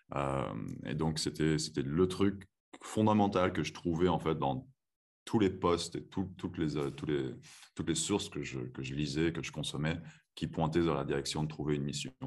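Long, frequent pauses break up a man's very deep, low voice, which carries vocal fry and a calm tone. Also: ordinary pitch variation, moderate pace. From France (moved from Texas at age 7). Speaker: chiropractor. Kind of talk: interview; guided breathing exercise.

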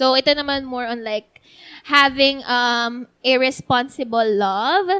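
A woman speaks slowly-ish in a raised, projected voice, her pitch high with ordinary variation and her tone bright and sharp. The recording is very clean with a silent background and a dry, close sound with no echo. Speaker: podcast host. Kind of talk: casual chat.

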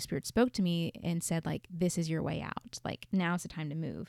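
At a moderate pace, a woman uses a normal speaking voice with a fairly low pitch and fairly even intonation, and the sound is dry and close with no echo. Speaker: podcast host. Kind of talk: casual chat.

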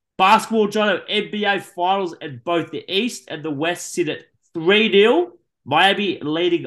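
The man has an Australian accent and a moderate pace. His intonation is lively. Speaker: sports podcast host. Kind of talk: sports news roundup; casual chat.

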